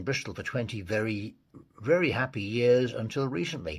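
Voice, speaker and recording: Somewhat breathy, this man speaks at a medium pitch. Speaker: podcast host. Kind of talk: podcast interview host.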